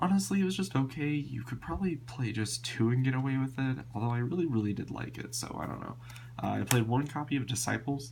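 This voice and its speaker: Over noticeable background noise, a man with a medium pitch and ordinary pitch variation talks at a very fast pace. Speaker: card game player. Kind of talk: casual talk to camera. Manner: casual, hesitant with many fillers.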